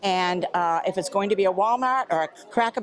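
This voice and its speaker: Noticeable background noise sits behind a woman speaking at a moderate pace. Her pitch is medium and her intonation lively. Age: 80s+. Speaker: solo full-time RVer. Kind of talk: interview answer. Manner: spunky, lively.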